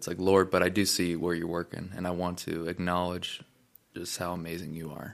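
Monotone, flat intonation alongside big swings in loudness. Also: man, very deep, low pitch for a man. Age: 20s. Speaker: podcast host. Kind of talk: casual chat.

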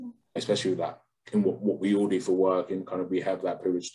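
Here a man talks at a very fast pace in a London accent. His pitch is very deep and low. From London, England. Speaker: podcast co-host. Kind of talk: casual chat.

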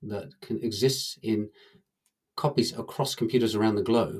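The voice has a dark, mellow tone and an English accent. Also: man. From England. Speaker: blockchain researcher and author. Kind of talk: interview.

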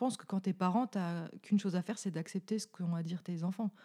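Very fast and fairly even in intonation, a woman speaks at a medium pitch with a dark, mellow tone. The recording is very clean, dry and close, with a silent background and no echo. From Franche-Comté, France. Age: 30s. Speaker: podcast co-host. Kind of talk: casual chat.

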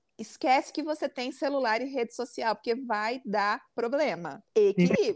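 Fairly slow and fairly high-pitched, a woman speaks with a strong interior São Paulo accent, in a dry, close sound with no echo and a very clean recording with a silent background. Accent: interior São Paulo accent, strong retroflex R. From interior of São Paulo state. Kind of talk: casual chat.

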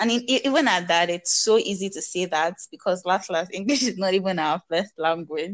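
A woman with a Nigerian accent at a fairly quick pace. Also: medium pitch for a woman, ordinary pitch variation. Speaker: podcast co-host. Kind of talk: casual chat.

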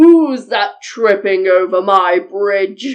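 Bellowing in a put-on character voice at a middle pitch, the speaker drags along at a very slow pace. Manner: roaring.

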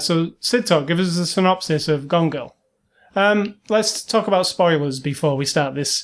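Over a quiet background, the voice moves at a moderate pace with ordinary pitch variation in a British accent. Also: man. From Britain. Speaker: podcast co-host. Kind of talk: casual chat.

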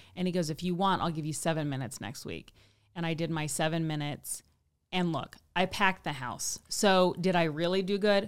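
A woman speaks in a Midwestern US accent with fairly low pitch. The recording is very clean, with a silent background. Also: ordinary pitch variation, fairly quick pace. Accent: General American, Midwestern. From US Midwest, Kansas City. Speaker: stand-up comedian. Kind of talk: casual chat.

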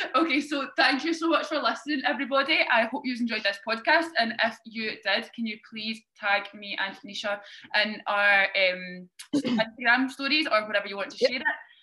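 At a moderate pace, a woman with a normal speaking voice and a fairly high pitch talks with ordinary pitch variation and big swings in loudness. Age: 20s. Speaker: podcast host, fitness athlete. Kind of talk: casual chat.

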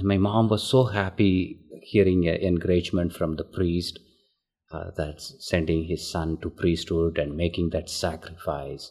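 With an Indian accent, a man speaks at a moderate pace in a very deep, low pitch. His voice is somewhat breathy with a dark, mellow tone and fairly even intonation. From southern India. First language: Tamil. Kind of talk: interview.

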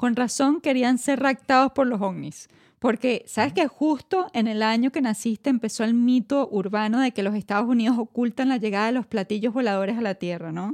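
A woman with a normal speaking voice talks at a moderate pace, her fairly high pitch showing ordinary variation in a dry, close sound with no echo. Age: 30s. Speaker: podcast co-host. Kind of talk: casual chat.

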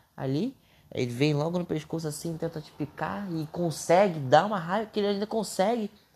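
At a moderate pace, a man with a high pitch and a Brazilian accent speaks with ordinary pitch variation. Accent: regional Brazilian. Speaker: podcaster. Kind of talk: casual monologue. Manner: unscripted, hesitant.

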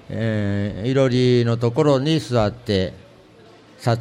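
A man speaks at a very slow pace with a Tottori accent. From Tottori, Kurayoshi. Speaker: antique shop owner. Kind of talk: interview. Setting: public recording in shopping center.

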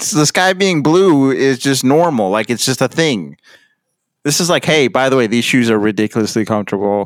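A man with a medium pitch speaks in an ordinary speaking voice with lively intonation and very even loudness. His moderate pace comes through on a very clean recording with a silent background. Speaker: podcast host. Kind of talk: casual banter.

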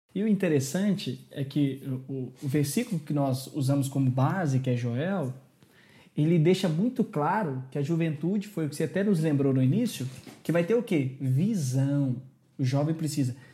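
At a moderate pace, a man with a fairly high pitch and a dark, mellow tone sounds somewhat breathy, with lively intonation. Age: 20s. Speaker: youth pastor. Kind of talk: religious discussion podcast.

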